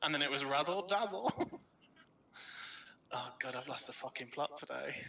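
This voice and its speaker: A man with a British accent speaks at a fairly high pitch. His intonation is lively, with noticeable background noise behind him. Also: moderate pace. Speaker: gamer on livestream. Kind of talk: casual chat. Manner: loud.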